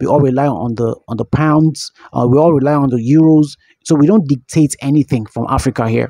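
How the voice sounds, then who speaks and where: In a dry sound with no echo and a quiet background, a man speaks in a dark, mellow tone at a moderate pace with ordinary pitch variation. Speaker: radio caller. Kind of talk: caller opinion monologue.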